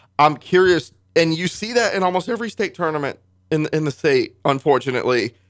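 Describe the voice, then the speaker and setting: A man speaks at a fairly quick pace with lively intonation, his pitch fairly high. He has a normal speaking voice. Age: 20s. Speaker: sports radio host and reporter. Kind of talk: radio interview. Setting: radio studio.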